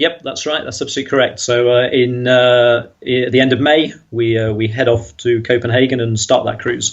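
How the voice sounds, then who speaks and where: A man with a British accent, hardly any pauses, and fairly even intonation. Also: medium pitch for a man, moderate pace. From England, Nottinghamshire (East Midlands). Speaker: podcast guest, cruise traveler. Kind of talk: casual interview.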